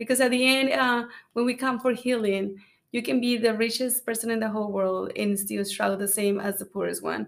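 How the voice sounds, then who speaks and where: Fairly quick, fairly high-pitched speech from a woman with a Spanish accent and fairly even intonation. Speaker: church founder, podcast host.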